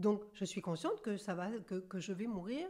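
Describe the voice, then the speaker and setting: Medium pitch and a moderate pace from a woman, a plain, everyday voice with ordinary pitch variation. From central France. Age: 60s. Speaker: medium and author. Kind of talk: interview.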